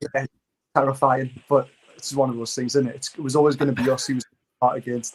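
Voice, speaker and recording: Very fast speech with long, frequent pauses, in a Geordie accent, with monotone, flat intonation. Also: man, medium pitch for a man. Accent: Geordie (Newcastle). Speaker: fantasy football content creator. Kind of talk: casual chat. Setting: livestream.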